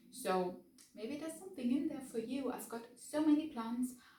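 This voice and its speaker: In a German accent, a woman talks at a high pitch with ordinary pitch variation and audible room echo. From Germany, Bavaria. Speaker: book vlogger. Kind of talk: casual vlog talk to camera. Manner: hesitant, many fillers.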